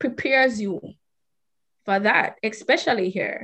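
Behind the speech, all is quiet. Delivery is fairly slow, and pitch varies in an ordinary way. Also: woman. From Jamaica. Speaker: person with type 1 diabetes. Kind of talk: interview.

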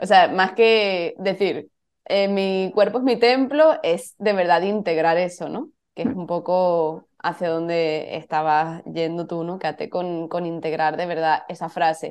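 A woman speaks in an ordinary speaking voice at a fairly slow pace, with a fairly low pitch, ordinary pitch variation and a quiet background. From Spain, Cádiz (Andalusia). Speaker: photographer and yoga teacher. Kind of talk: casual interview chat.

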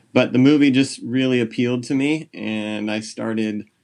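A man talks in a Californian accent. His medium-pitched voice shows ordinary pitch variation. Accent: General American, Californian. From US West Coast, San Jose, California. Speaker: junior high English teacher and birder. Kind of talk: casual interview chat.

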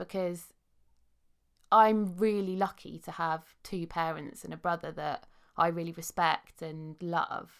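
A woman speaks with a southern English accent. Her intonation stays fairly even. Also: very clean recording, silent background. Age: 30s. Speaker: podcast host and life coach. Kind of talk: casual interview chat.

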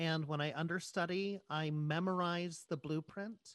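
A man speaks in a high voice with fairly even intonation at a fairly slow pace. The sound is dry and close with no echo, against a quiet background. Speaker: Broadway actor and podcast host. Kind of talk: casual interview chat.

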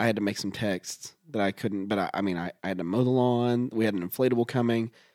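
A man talks at a fairly quick pace with a medium pitch and fairly even intonation, in a plain, everyday voice. The sound is dry and close, with no echo. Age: 30s. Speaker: podcast co-host. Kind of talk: casual chat.

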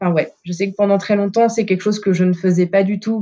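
The woman's voice has a dark, mellow tone. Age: 30s. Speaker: former coaching client, factory technician. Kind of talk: testimony in casual interview.

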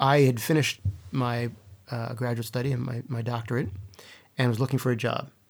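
A man speaks in a Mid-Atlantic accent. His pace is moderate. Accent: American, Mid-Atlantic. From US East Coast, Baltimore. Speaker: poet and creative writing professor. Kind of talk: interview conversation.

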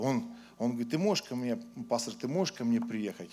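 A man with an ordinary speaking voice, medium pitch, ordinary pitch variation and a moderate pace. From Ukraine. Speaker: pastor. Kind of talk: sermon.

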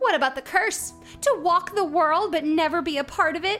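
A woman puts on a character voice at an extremely high pitch, speaking at a moderate pace. Faint music plays in the background. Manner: frantic, worried.

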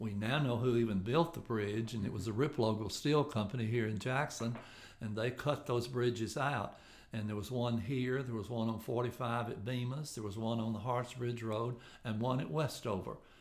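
With audible room echo, a man of medium pitch speaks at a moderate pace in a fairly even intonation. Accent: Tennessee. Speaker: local historical association president. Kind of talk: podcast interview.

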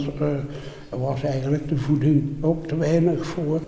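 A man's fairly high, monotone, flat voice at a very slow pace, with audible room echo and noticeable background noise. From Netherlands, Elst (Betuwe, Gelderland). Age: 80s+. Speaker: war eyewitness. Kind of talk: testimony.

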